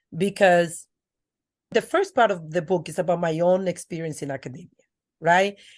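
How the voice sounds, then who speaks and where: Speaking at a moderate pace with a strong Dominican accent, a woman uses a medium pitch against a quiet background. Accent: thick Dominican Spanish. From Dominican Republic. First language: Spanish. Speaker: educator and author. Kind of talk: interview. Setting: podcast.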